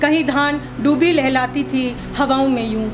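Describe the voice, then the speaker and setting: A woman talks with a high pitch and ordinary pitch variation. Music plays in the background. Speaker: poet. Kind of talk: poetry reading.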